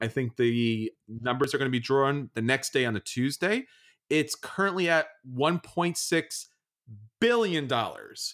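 A plain, everyday voice from a man with a fairly high pitch, at a fairly slow pace, in a very clean recording with a silent background. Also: lively intonation. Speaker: podcast host. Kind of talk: casual chat.

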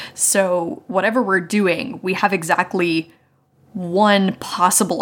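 A woman with an American accent has a plain, everyday voice, medium pitch and ordinary pitch variation. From West Virginia, US. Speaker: podcaster and game designer. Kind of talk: role-playing game actual play; casual chat.

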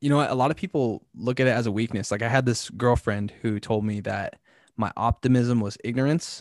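A man with an American accent speaks at a fairly quick pace in an unremarkable speaking voice, medium in pitch with ordinary variation. The sound is dry and close with no echo, over a quiet background. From California. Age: 20s. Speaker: content creator. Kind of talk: casual chat.

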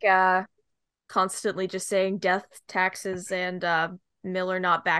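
A bright, sharp tone with a western Canadian accent on a very clean recording with a silent background. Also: woman. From Greater Vancouver, Canada. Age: 20s. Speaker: podcast host, student. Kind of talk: casual chat.

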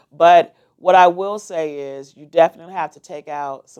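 A woman talks in an animated tone. Her pitch varies in an ordinary way. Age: 50s. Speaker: entrepreneur and forex trader. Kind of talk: interview.

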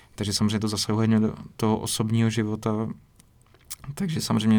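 A man talks at a very fast pace in a dark, mellow tone with monotone, flat intonation. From Czech Republic, rural village. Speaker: filmmaker. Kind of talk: interview. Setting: basement rehearsal room.

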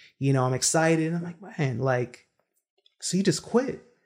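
A man with an American accent at a fairly high pitch, moderate pace and ordinary pitch variation, in an ordinary speaking voice. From Brooklyn, New York, from a Jamaican family. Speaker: real estate entrepreneur. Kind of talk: interview.

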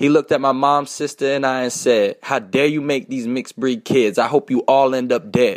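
A man with a normal speaking voice at medium pitch, talking at a fairly quick pace, on a very clean recording with a silent background. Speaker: rapper. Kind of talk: spoken word poetry. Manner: rhythmic, rhyming delivery.

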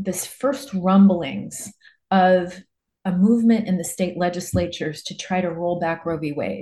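A woman with an American accent speaks at a fairly slow pace, her medium-pitched voice dark, mellow and somewhat breathy, with ordinary pitch variation. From Nebraska, US Midwest. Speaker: political advocate. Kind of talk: interview.

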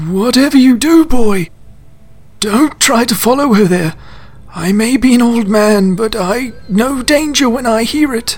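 A man speaks at a moderate pace in an extremely high pitch, with ordinary pitch variation and light background noise. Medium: audio drama. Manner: calm, fatherly, dryly witty.

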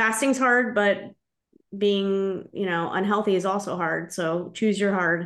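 Speaking fairly slowly, a woman uses a normal speaking voice at medium pitch with fairly even intonation. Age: 40s. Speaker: podcast host. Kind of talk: interview.

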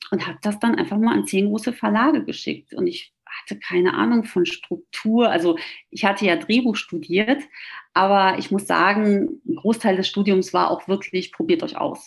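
Somewhat breathy, a woman speaks with very wide pitch swings over a quiet background. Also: medium pitch for a woman, moderate pace. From Ruhr area, Germany. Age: 40s. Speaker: author and flight attendant. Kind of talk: interview.

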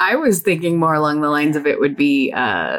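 Vocal fry runs through a woman's very deep, low voice. She keeps a moderate pace. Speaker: podcast co-host. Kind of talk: casual chat.

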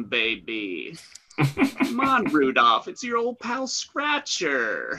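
Everything moves at a very slow pace. A put-on character voice does the talking. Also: man, extremely high pitch for a man. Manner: smarmy, villainous.

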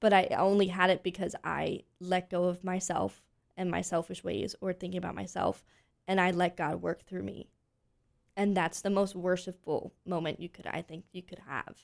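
A woman with an American accent speaks at medium pitch in a monotone, flat delivery with vocal fry and big swings in loudness, recorded very cleanly against a silent background. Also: moderate pace. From Pennsylvania, US. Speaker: actress and voice teacher. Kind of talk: interview.

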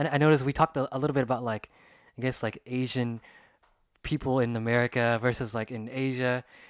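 Very fast and monotone, a man speaks in a medium pitch with flat intonation, recorded dry and close with no echo. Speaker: podcast host and former Japanese teacher. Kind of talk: casual interview chat. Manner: fast talker.

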